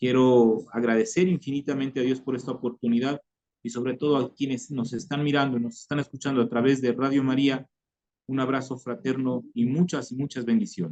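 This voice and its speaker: With a dark, mellow tone, a man talks at a fairly quick pace, his medium pitch showing ordinary variation. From Ecuador, Tulcán (northern highlands). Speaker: former guerrilla member giving conversion testimony. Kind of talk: testimony. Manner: halting, many repetitions and fillers.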